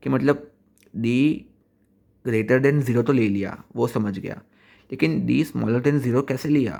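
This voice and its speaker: Heard on a very clean recording with a silent background, a man speaks in a medium pitch with ordinary pitch variation. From Gujarat, India. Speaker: student vlogger. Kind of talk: casual vlog. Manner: halting.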